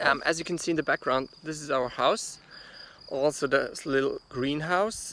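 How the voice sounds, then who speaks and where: A man's fairly high-pitched voice, bright and sharp in tone, with a non-native accent. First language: German. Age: 30s. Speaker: gardener. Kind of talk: guided tour vlog. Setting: outdoors in garden. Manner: halting, many fillers.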